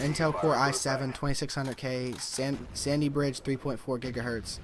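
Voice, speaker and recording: Noticeable noise sits behind the speaker, a man. His pitch is fairly high and his pace moderate. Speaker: gaming YouTuber. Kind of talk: gameplay commentary. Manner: halting, stumbling over words; casual.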